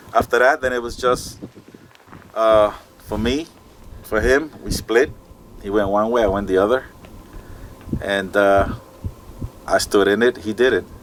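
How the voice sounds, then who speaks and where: Over noticeable background noise, a man at medium pitch speaks at a fairly slow pace with ordinary pitch variation and long, frequent pauses. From Puerto Rico. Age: 60s. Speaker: street racer and mechanic. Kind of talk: interview. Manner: casual, halting with fillers.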